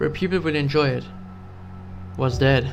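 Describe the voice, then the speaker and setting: Over music in the background, a man speaks with lively intonation at a fairly high pitch. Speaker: horror story narrator. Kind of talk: horror story narration.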